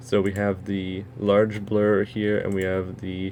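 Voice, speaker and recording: A man speaks with a plain, everyday voice. His pitch is fairly low and his intonation fairly even. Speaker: software tutorial maker. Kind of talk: tutorial.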